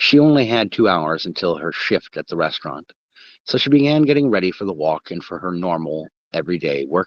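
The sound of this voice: Over a quiet background, the words come in an unforced reading voice.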